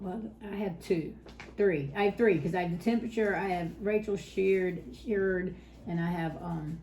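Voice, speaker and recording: The speaker has a Southern US accent and fairly even intonation at a moderate pace. Audible room echo surrounds the voice. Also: woman, medium pitch for a woman. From South Carolina. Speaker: cross-stitch video host. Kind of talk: casual chat.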